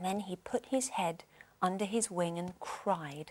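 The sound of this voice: The pitch varies in an ordinary way in this unforced reading voice.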